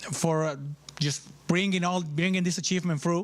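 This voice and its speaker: With a Spanish accent, a man speaks at a high pitch and with fairly even intonation. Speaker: university official. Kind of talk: ceremony speech. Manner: halting.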